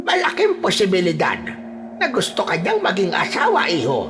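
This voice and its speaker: Loud music plays in the background. Over it comes a put-on character voice at a moderate pace. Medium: read story. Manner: serious, knowing.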